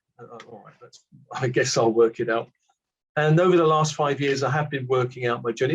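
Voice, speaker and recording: A man talks at a fairly quick pace with a British accent. His voice is somewhat breathy. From Britain. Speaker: spiritual teacher. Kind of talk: casual chat. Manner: halting.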